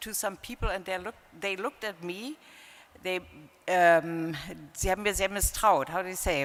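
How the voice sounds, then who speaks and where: A woman talks with a German accent. Her tone is bright and sharp, with fairly even intonation. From East Germany. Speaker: panelist, former immigrants ombudswoman. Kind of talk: panel discussion. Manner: halting.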